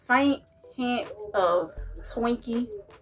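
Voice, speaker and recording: Faint music plays in the background. A woman speaks with a high pitch. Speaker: food reviewer. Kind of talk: casual vlog chat. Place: home room. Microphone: phone near.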